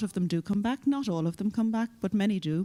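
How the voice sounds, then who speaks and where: Speaking with an Irish accent, a woman has a medium-pitched voice with a dark, mellow tone. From Ireland. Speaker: EU official, panelist. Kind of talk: conference panel discussion. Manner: hesitant, repeats words.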